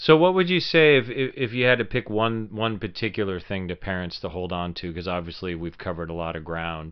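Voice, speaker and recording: Using an unremarkable speaking voice, a man talks at a moderate pace and fairly low pitch. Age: 50s. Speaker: actor and podcast co-host. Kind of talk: casual chat.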